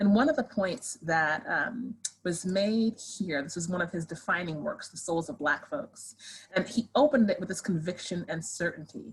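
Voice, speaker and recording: With lively intonation, a woman speaks at a medium pitch in a somewhat breathy voice. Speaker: sociology professor. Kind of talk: lecture. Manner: fast.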